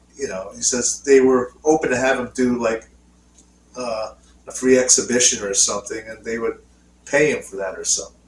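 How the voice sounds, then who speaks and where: A man's speech, moderate in pace, swings widely in loudness against noticeable background noise. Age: 50s. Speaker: podcast co-host. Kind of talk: casual chat. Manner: halting.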